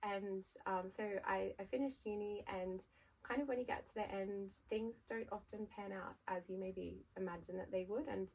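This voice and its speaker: With an Australian accent, a woman talks at a moderate pace and medium pitch, using ordinary pitch variation. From Australia, Sydney. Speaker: brand founder. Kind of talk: podcast interview. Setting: podcast recording.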